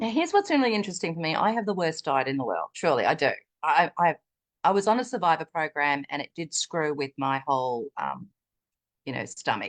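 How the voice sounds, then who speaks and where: Very wide pitch swings mark a woman's fairly low voice as she speaks at a fairly quick pace, the sound dry and close with no echo and the background quiet. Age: 60s. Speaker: wellness product user sharing testimony. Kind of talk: testimony. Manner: animated.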